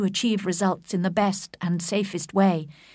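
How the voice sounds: What you hear is a natural reading voice.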